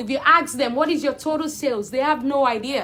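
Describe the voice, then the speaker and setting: A woman speaks loudly at a high pitch, with ordinary pitch variation and a moderate pace. Background noise is noticeable. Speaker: accountant. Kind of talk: live Q&A video. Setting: livestream on social media. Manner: animated.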